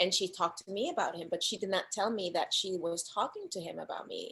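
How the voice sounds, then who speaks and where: This woman has a Spanish accent. Her voice sits at a medium pitch. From Dominican Republic. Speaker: actress and filmmaker. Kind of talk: casual interview chat. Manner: soft-spoken; animated.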